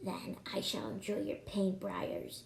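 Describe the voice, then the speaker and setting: In a put-on character voice, the speaker goes at a fairly slow pace at low-to-middle pitch with very wide pitch swings. Clear background noise sits behind it. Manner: menacing.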